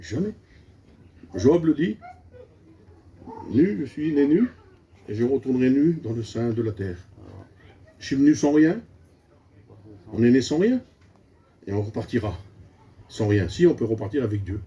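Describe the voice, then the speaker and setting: Amid noticeable background noise, a man with medium pitch and lively intonation speaks with long, frequent pauses. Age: 60s. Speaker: preacher. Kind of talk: sermon. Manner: animated.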